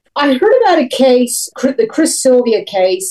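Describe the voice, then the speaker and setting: This woman talks at a fairly slow pace with lively intonation. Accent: Tennessee. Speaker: author and former park ranger. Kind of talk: interview about book.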